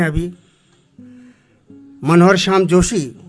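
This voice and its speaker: A man's fairly high-pitched voice over background music. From Almora district, Kumaon, Uttarakhand, India. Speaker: Kumaoni folk singer and poet. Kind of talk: talk to audience on stage. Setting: auditorium stage. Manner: simple, unpretentious.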